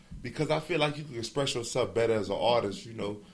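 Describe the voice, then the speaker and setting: Somewhat breathy, a man speaks at a medium pitch. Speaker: rapper. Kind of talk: interview. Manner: casual, filler-heavy.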